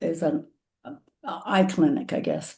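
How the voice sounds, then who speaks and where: Against a quiet background, a woman speaks in a dark, mellow tone that is somewhat breathy. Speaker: patient with macular degeneration, peer group leader. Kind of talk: video call webinar chat. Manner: halting, many fillers.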